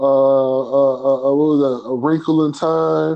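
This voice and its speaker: A man at a fairly slow pace. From Chicago. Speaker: podcast host. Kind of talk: casual chat.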